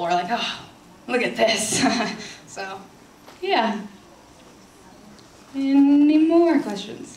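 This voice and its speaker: Against noticeable background noise, a woman speaks with very wide pitch swings. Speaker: author and actress. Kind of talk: audience Q&A answer at book signing. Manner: casual, chatty.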